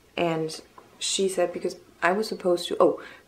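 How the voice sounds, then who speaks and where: A woman's voice over noticeable background noise. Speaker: vlogger with multiple sclerosis. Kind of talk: casual vlog. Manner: hesitant with many ums.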